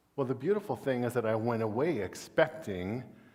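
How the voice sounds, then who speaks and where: Room echo is clearly audible. Through it, a man speaks with ordinary pitch variation. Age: 60s. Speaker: guest preacher. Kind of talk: sermon. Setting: church.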